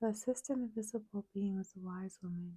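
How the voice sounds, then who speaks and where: A woman whispering, soft-spoken and somewhat breathy, with a gentle tone and a dry, close sound with no echo. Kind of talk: ASMR story reading. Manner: soft-spoken, gentle, whispery.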